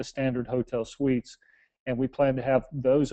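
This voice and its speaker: An American-accented man at medium pitch, moderate pace and monotone, flat intonation. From United States. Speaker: real estate developer presenter. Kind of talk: webinar presentation. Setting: online webinar call. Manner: halting, many repeated words.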